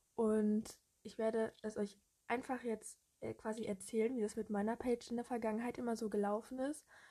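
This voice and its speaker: A woman's fairly high voice comes across somewhat breathy, with a dark, mellow tone and monotone, flat intonation. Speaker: social media fan page creator, podcaster. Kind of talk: casual solo monologue. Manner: chatty, hesitant with fillers.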